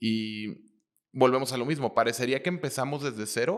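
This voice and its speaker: Fairly quick and fairly even in intonation, a man with a normal speaking voice is heard on a very clean recording with a silent background. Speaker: interviewer. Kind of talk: interview.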